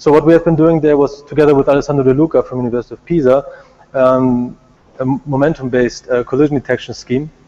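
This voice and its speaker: Over noticeable background noise, a man rushes along at a very fast pace in a fairly high voice with fairly even intonation. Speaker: robotics researcher. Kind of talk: conference talk.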